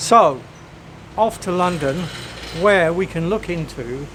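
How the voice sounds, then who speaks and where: Over noticeable background noise, a man with an English accent talks at a moderate pace in a high pitch with ordinary pitch variation. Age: 60s. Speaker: travel vlogger. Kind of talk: travel vlog narration. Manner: animated.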